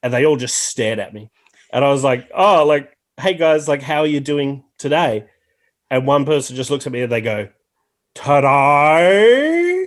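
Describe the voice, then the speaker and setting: Fairly high-pitched man with a strong Australian accent and ordinary pitch variation. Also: moderate pace. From Australia, Tasmania. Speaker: podcast guest. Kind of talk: casual chat.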